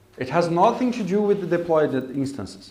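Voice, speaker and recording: Recorded with audible room echo, a man with a high-pitched voice speaks at a moderate pace with lively intonation. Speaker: coding bootcamp instructor. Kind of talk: lecture.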